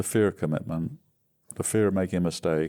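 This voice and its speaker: A man with a very deep, low voice and a dark, mellow tone talks at a fairly quick pace with ordinary pitch variation. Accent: English. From England. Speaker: recovering alcoholic, retired business founder. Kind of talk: interview testimony. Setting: podcast interview.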